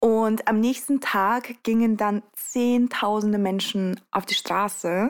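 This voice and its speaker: The speech moves at a very slow pace with hardly any pauses, fairly even intonation and very even loudness. It is a very clean recording with a silent background. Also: woman, fairly high pitch for a woman. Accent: Russian. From Russia. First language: Russian (speaking German). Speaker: youth activist. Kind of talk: interview. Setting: home studio on a sofa.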